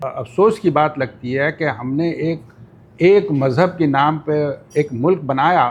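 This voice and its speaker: A man with an unremarkable speaking voice, pitched fairly high. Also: ordinary pitch variation. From Pakistan, Karachi. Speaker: podcast guest. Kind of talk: interview.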